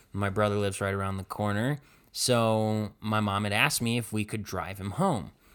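A man with an American accent speaks in a normal speaking voice, his pitch fairly low. He keeps a moderate pace on a very clean recording with a silent background. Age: 20s. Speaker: podcast host. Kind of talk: casual chat.

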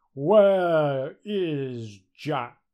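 Using a put-on character voice, a man talks at a fairly high pitch.

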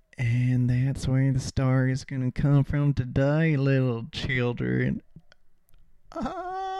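Over noticeable background noise, a man speaks at medium pitch in a monotone, flat intonation at a very slow pace. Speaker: podcast host. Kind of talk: improvised stream-of-consciousness storytelling.

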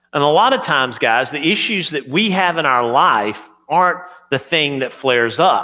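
His intonation is lively as this man speaks. Audible room echo surrounds the voice. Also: fairly high pitch for a man, moderate pace. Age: 40s. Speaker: pastor. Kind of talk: sermon.

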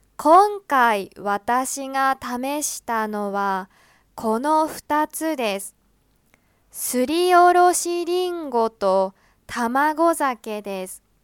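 The speech is very slow, with very wide pitch swings and big swings in loudness. The sound is dry and close with no echo, on a very clean recording with a silent background. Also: woman, high pitch for a woman. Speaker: Japanese language teacher podcaster. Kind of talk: scripted narration for language learners. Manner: slow, clear.

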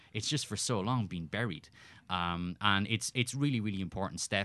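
A man with an Irish accent talks at a fairly quick pace in a bright, sharp tone. The background is quiet. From Ireland. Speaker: soccer journalist. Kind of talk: casual chat. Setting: studio.

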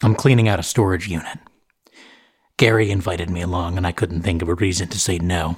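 This man has a very deep, low pitch and a somewhat breathy, intense tone. He talks at a very fast pace with fairly even intonation. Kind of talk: carnival barker patter, then first-person scripted fiction narration. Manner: booming showman's patter, theatrical and ominous, with mock-grand menace; paranoid, intense, snapping irritably at Gary in the story.

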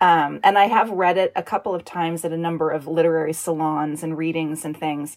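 A fairly low-pitched woman with an American accent, with hardly any pauses. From Northern California. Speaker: author and creative writing professor. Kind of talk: reading aloud her own short story; casual interview chat. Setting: home recording in a blanket fort.

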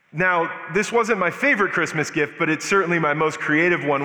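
Man with an American accent and ordinary pitch variation, amid noticeable background noise. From US Southwest, Albuquerque, New Mexico. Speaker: guest preacher. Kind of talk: sermon. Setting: church.

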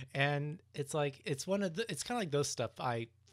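Recorded very cleanly against a silent background, a man with an unremarkable speaking voice talks at a fairly quick pace with lively intonation. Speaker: podcast co-host. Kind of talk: casual chat. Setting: staying at parents' home. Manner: casual, filler-heavy.

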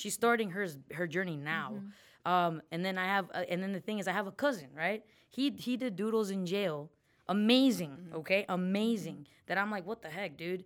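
In a very clean recording with a silent background, a woman with an American accent talks at a fairly quick pace, an ordinary speaking voice at medium pitch with ordinary pitch variation. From Mexican American, US. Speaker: diversity advocate and city commission member. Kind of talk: casual interview conversation.

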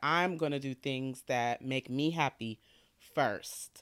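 Ordinary pitch variation marks a woman's very deep, low voice in an American accent. The sound is dry and close with no echo. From Detroit, US Midwest. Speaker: marketing and PR professional. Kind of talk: casual interview.

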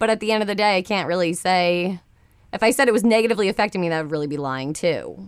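A woman at a very fast pace, medium pitch. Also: ordinary pitch variation. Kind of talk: casual chat. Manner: loud.

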